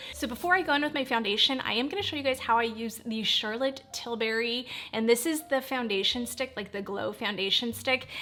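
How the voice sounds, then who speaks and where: Against noticeable background noise, a woman speaks at a fairly quick pace in a high voice with ordinary pitch variation. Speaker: beauty vlogger. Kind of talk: voice-over beauty tutorial. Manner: fast; animated.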